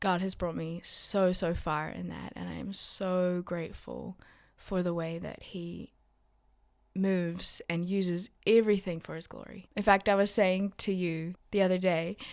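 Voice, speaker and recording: With an American accent, a woman speaks at a fairly low pitch in monotone, flat intonation, with big swings in loudness, in a very clean recording over a silent background. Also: fairly slow pace. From West Papua, Indonesia (missionary kid, American schools), then South Island NZ. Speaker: missionary. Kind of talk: casual chat.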